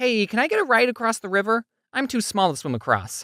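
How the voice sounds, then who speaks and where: In a very clean recording with a silent background, a man does a cartoonish character voice at a high pitch and a very fast pace. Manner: calm, matter-of-fact.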